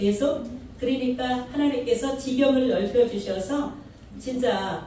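A woman speaks at a very slow pace and a high pitch. Light background noise and audible room echo are present. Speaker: pastor. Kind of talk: sermon. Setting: church. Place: church. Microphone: microphone suddenly broken.

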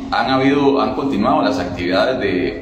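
Music plays in the background and audible room echo surrounds a man as he talks. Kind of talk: interview answer. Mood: concerned, measured complaint. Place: hall.

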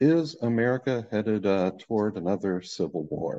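A man's fairly low pitch and dark, mellow tone at a fairly slow pace. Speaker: presenter. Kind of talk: lecture. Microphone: webcam.

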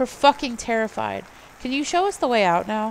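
In a put-on character voice, a female-sounding speaker talks fairly quickly at a fairly high pitch, her voice shaky, on a very clean recording with a silent background. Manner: forced calm, shaky.

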